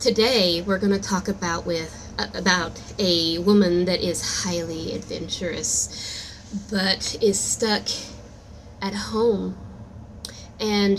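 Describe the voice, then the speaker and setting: Very slowly, a woman speaks at a medium pitch with fairly even intonation. Noticeable background noise runs underneath. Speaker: amateur storyteller and aspiring author. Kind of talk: improvised storytelling; casual channel intro. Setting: recording at work. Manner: casual, halting with fillers.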